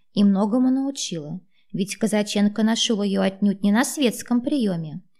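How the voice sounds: The speaker uses a natural reading voice. Pitch variation stays ordinary.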